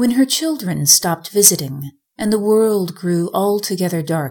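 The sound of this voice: An unforced reading voice sounds over a quiet background.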